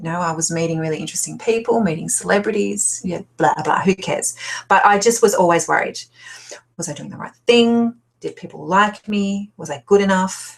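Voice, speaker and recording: A woman at a fairly quick pace, with big swings in loudness. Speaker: life coach. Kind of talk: webinar presentation. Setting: online webinar. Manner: fast when excited.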